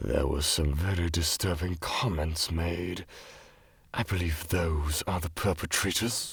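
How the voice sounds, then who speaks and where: A man puts on a theatrical character voice with a very deep, low pitch. He speaks at a fairly slow pace with fairly even intonation. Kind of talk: dramatic storytelling monologue. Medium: machinima. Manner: slow, measured, theatrical, with knowing laughs.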